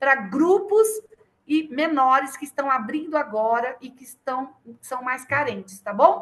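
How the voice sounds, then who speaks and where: A woman's high, bright, sharp, raised and projected voice at a very slow pace. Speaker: children's ministry teacher. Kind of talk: online training lecture. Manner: animated.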